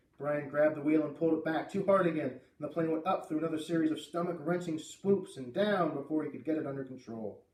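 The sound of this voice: A man's fairly high pitch and slightly mellow tone, ordinary pitch variation, audible room echo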